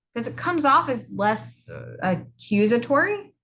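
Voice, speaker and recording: Loud and bright with a sharp tone, the voice carries vocal fry and very wide pitch swings. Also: woman. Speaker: college instructor. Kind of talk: video lecture.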